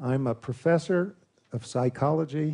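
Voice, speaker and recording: In an American accent, the speaker has a dark, mellow, somewhat breathy tone, ordinary pitch variation and a fairly slow pace. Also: man. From US, Louisville, Kentucky. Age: 60s. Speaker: psychology professor. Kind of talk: conference presentation. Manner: formal.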